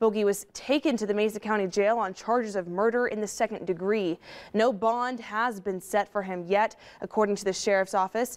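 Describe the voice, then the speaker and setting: A woman talks at a fairly quick pace with an American accent. Her intonation stays fairly even. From United States, Colorado. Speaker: local TV news anchor. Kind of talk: late evening newscast read of a developing murder story. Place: studio.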